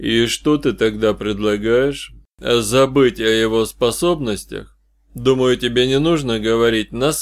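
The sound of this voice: What you hear is an unforced reading voice.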